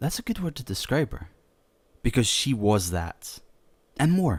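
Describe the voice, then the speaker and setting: In a very clean recording with a silent background, a man speaks somewhat breathily with very wide pitch swings. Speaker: voice actor, creepypasta narrator. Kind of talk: horror story narration, first-person. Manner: casual, conversational, self-deprecating.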